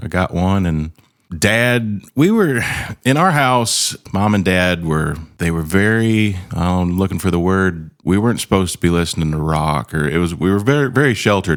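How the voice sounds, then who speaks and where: With an American accent, a man speaks at a moderate pace and fairly low pitch, with lively intonation and very even loudness. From northern Ohio, near Toledo. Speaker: country singer-songwriter. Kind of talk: casual chat.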